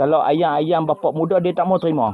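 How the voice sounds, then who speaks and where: A man speaks with a Kedah accent over noticeable background noise. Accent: northern Malay (Kedah) dialect, unchanged. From Kedah, northern Peninsular Malaysia. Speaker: farm vlogger. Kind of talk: casual vlog talk.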